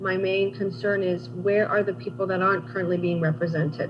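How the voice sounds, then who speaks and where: A woman speaks at a fairly quick pace with a fairly low pitch and lively intonation. Music plays in the background, and the room has an audible echo. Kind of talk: conference interview. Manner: fast; animated.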